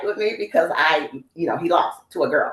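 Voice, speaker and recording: A woman talks at a fairly quick pace with an American accent. Noticeable background noise runs underneath. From US Midwest, Cincinnati, Ohio. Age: 60s. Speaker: masters sprinter. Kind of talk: interview.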